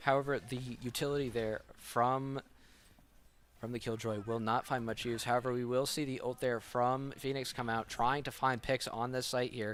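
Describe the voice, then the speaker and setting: The man's voice sits at a medium pitch. His intonation is monotone and flat. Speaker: esports caster. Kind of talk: live commentary. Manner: fast.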